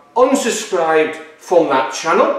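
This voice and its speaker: Audible room echo around a man's voice. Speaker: car build vlogger. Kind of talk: casual vlog chat. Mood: mildly annoyed, explaining. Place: workshop.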